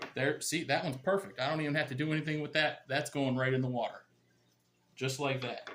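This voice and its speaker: The voice rushes along at a very fast pace with fairly even intonation. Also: man, fairly high pitch for a man. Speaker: gardening YouTuber. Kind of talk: tutorial. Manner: casual, conversational.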